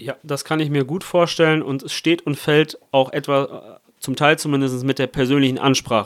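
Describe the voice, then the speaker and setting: A normal speaking voice at a moderate pace with hardly any pauses and fairly even intonation, on a very clean recording with a silent background. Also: man, fairly high pitch for a man. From Italy. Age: young. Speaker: parliamentary candidate. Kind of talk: political interview.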